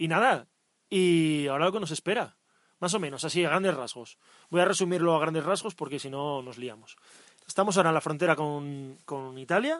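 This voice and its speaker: A man speaks in an ordinary speaking voice, fairly high in pitch with ordinary pitch variation. His loudness swings widely against a quiet background. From Asturias, northern Spain. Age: 20s. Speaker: cycle tourist podcast co-host. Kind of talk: casual chat. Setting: outdoors.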